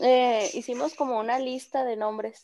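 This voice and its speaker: Here a woman speaks at a very slow pace. Her pitch is high, with ordinary variation. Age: 20s. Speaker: young mother and caregiver. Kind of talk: casual chat.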